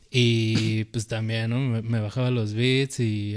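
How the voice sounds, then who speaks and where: Over music in the background, a man speaks very slowly with fairly even intonation. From Mexico. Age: 20s. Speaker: rapper and video maker. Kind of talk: casual interview chat.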